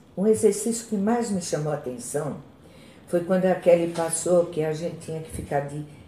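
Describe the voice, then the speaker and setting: A woman's fairly low voice with a dark, mellow tone, vocal fry, lively intonation and a moderate pace. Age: 60s. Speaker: chronic pain patient. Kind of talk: testimony.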